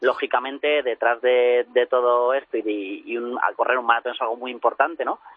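Speaking at a moderate pace with hardly any pauses, a man keeps a monotone, flat intonation. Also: medium pitch for a man. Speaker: athletics coach. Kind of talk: interview. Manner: halting.

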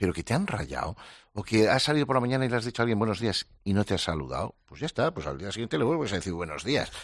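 Against a quiet background, a man with a fairly low voice speaks very fast, his pitch swinging very widely. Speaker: psychologist. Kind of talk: casual conversation.

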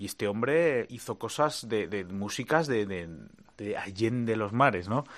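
Against a quiet background, a man of medium pitch speaks at a fairly slow pace with ordinary pitch variation. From Spain (Madrid). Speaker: guitarist. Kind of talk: interview. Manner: halting.

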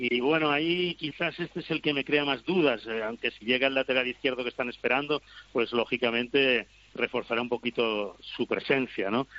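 A man's ordinary speaking voice, medium in pitch, with ordinary pitch variation. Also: moderate pace. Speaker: handball pundit. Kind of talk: debate panel.

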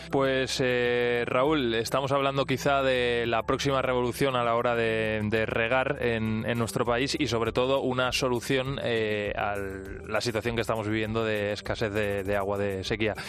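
Music plays in the background as a man speaks at a fairly slow pace. His loudness is very even and his intonation fairly even. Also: medium pitch for a man, hardly any pauses. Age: 30s. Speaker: radio host. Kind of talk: radio science and technology show.

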